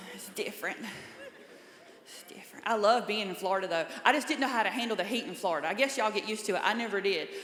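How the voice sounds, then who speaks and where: Talking at a very fast pace in a Southern accent, a woman shows ordinary pitch variation amid audible room echo and noticeable background noise. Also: fairly high pitch for a woman, big swings in loudness. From US South, small-town North Carolina. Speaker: comedian. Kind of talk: stand-up. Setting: stage with audience.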